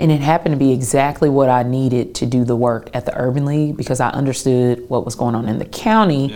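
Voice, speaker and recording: A woman's very deep, low voice at a very fast pace, with ordinary pitch variation. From Tennessee, Clarksville. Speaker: nonprofit executive. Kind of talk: interview.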